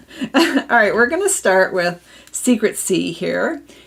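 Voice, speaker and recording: At a fairly slow pace, a woman speaks in an American accent with vocal fry. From Minnesota. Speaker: papercraft demonstrator. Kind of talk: live craft tutorial.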